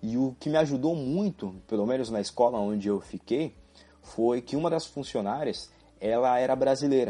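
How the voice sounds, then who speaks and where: A man's voice with a dark, mellow tone, medium pitch, ordinary pitch variation and a moderate pace. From Brazil. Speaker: podcast host. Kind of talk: solo monologue podcast.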